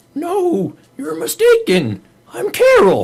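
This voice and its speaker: A man's put-on character voice in falsetto, extremely high in pitch, at a fairly slow pace. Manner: shabby, feigning.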